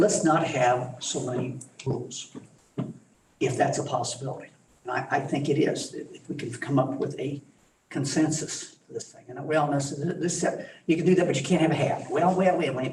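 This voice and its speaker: The room echo is audible as a man talks with fairly even intonation. His loudness swings widely. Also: fairly high pitch for a man, moderate pace. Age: 70s. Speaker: school board member and former teacher. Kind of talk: board meeting discussion. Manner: halting.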